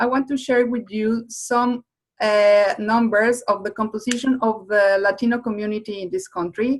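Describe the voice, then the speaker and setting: A woman with a Spanish accent, fairly high in pitch, at a moderate pace with ordinary pitch variation. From Mexico. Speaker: webinar presenter. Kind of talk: webinar presentation. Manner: halting.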